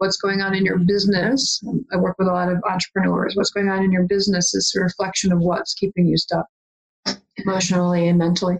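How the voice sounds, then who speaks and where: A woman with an Upper Midwest accent talks at a very fast pace in a medium pitch, her intonation monotone and flat. Her loudness stays very even, and the sound is dry and close with no echo. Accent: Upper Midwest American. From Michigan, small town. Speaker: life coach and hypnotist. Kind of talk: interview. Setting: home office.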